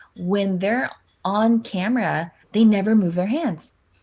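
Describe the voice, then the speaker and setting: A woman talks in an animated tone at a medium pitch, somewhat breathy. The recording is very clean, with a silent background. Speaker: keynote speaker and live streamer. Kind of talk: interview. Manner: fast.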